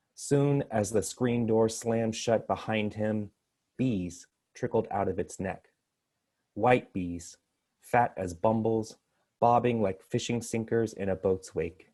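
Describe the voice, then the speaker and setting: At a very slow pace, a man with an American accent talks at medium pitch in a dark, mellow tone with fairly even intonation against a quiet background. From Texas, Houston. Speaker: poet. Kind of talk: poetry reading.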